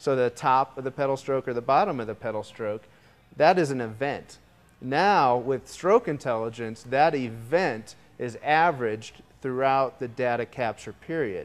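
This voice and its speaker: A man talks at a moderate speed, and his pitch rises and falls in an ordinary way. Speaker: presenter. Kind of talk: product demo presentation. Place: studio. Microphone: lapel.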